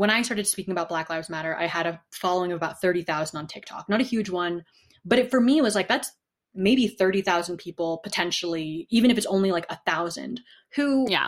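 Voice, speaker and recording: A woman with an American accent and an ordinary speaking voice speaks at a fairly quick pace and medium pitch, with ordinary pitch variation, on a very clean recording with a silent background. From US Northeast, New Haven, Connecticut. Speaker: activist and university student. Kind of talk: interview.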